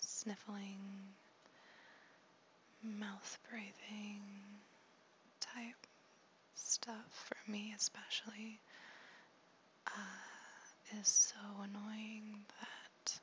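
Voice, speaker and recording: Someone soft-spoken talks at a very slow pace with long, frequent pauses over noticeable background noise. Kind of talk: ASMR talk to camera.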